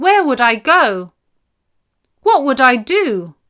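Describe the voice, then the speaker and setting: Putting on a character voice, a woman speaks very slowly at a high pitch with very wide pitch swings. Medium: read story. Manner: bright, innocent.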